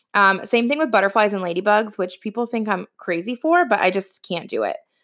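With a Midwestern American accent, a woman speaks in a fairly high pitch with a bright, sharp tone and lively intonation, on a very clean recording against a silent background. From Ohio, US Midwest. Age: 30s. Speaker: podcast host, entrepreneur. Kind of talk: personal storytelling monologue. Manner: casual with frequent fillers.

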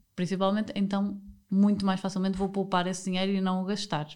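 At a fairly quick pace, a woman talks in a normal speaking voice at medium pitch. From northern Portugal, Porto. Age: 30s. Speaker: podcast host. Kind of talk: casual chat.

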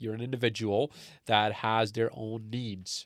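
A man at a medium pitch and fairly slow pace, on a very clean recording with a silent background. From Canada, born in Pakistan. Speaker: engineering student and wellness entrepreneur. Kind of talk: casual interview. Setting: studio, face-to-face. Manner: halting, many fillers and restarts.

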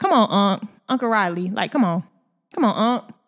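An animated tone with ordinary pitch variation comes through in a very clean recording with a silent background. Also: woman. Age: 20s. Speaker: podcast host. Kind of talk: casual solo podcast monologue; motivational talk.

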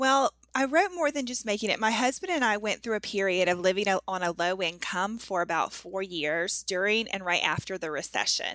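With an American accent, a woman speaks fairly quickly with hardly any pauses, her medium-pitched voice bright and sharp in tone, her intonation lively. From US South. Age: 30s. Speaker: author and blogger. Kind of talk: casual interview chat.

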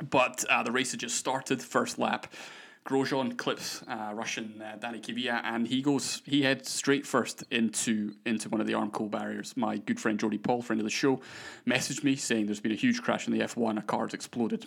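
Over a silent background on a very clean recording, a man talks at a moderate pace. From Scotland. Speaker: podcast host. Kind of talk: casual chat. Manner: talkative.

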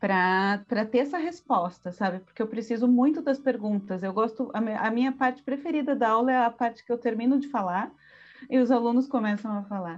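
Using a normal speaking voice, a woman talks at a fairly high pitch and a fairly quick pace with ordinary pitch variation. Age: 40s. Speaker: visual artist and art history professor. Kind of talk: casual interview with didactic explanations.

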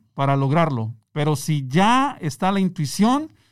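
A man with a fairly high pitch swings very widely up and down on a very clean recording against a silent background. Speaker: entrepreneur. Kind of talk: interview. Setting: studio. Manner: calm.

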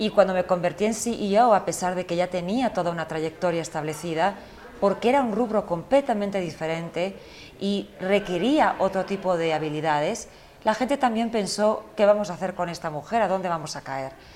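A medium-pitched woman at a moderate pace with ordinary pitch variation, over noticeable background noise. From United States. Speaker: fashion magazine editor and executive. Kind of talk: interview.

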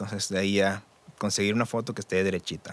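Here is a man with a Mexican accent and a fairly low pitch. He talks at a fairly quick pace. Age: 30s. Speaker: audiovisual producer. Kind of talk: casual chat. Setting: studio.

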